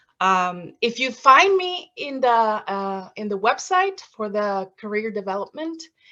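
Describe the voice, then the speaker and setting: In a bright, sharp tone, a woman speaks with a Mexican accent. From Mexico, Veracruz. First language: Spanish. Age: 50s. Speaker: former TV reporter, graduate student. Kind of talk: presentation. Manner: halting.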